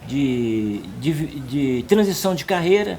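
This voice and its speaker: A man speaks over noticeable background noise. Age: 60s. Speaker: senior university student. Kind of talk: documentary interview. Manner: halting, repeats words.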